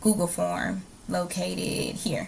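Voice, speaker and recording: Somewhat breathy, a woman with a fairly low pitch speaks with very wide pitch swings. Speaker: teacher. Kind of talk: recorded presentation. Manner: hesitant, many fillers.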